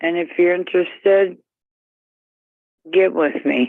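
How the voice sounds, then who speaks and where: A woman at a fairly low pitch, with ordinary pitch variation and a very slow pace. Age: 60s. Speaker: dating line caller. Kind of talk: recorded personal ad greeting.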